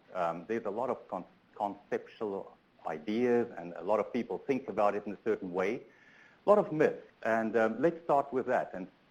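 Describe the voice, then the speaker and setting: A man talks at a fairly quick pace with a South African accent. His pitch sits fairly low and rises and falls in an ordinary way. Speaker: transportation sustainability researcher. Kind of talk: conference keynote talk. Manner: hesitant, many fillers.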